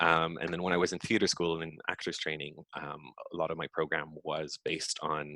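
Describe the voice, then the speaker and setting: With a French accent, a man speaks at a fairly quick pace. His very deep, low pitch stays monotone and flat. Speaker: physical theatre performer and choreographer. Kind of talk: interview. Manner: hesitant, many fillers.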